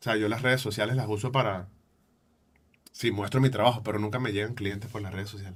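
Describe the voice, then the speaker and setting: Speaking in a Venezuelan accent, a man with a somewhat breathy, fairly low voice talks at a very fast pace with monotone, flat intonation and long, frequent pauses. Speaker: photographer and podcaster. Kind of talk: interview answer.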